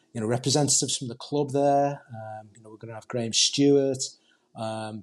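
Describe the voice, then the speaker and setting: Speaking at a fairly quick pace in a Liverpool accent, a man holds a medium pitch and fairly even intonation while his loudness swings widely. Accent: Liverpool (Scouse). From Liverpool, England (Huyton). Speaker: football supporters group representative. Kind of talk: podcast interview.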